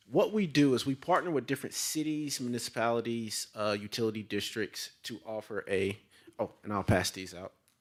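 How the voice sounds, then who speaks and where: This man speaks with a Southern accent at a fairly quick pace. His pitch variation is ordinary. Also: medium pitch for a man, very clean recording, silent background. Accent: Southern, less twang than Louisiana. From Tennessee, Chattanooga. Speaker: sales representative. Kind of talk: sales pitch. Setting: city council chamber. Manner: halting, many fillers and repetitions.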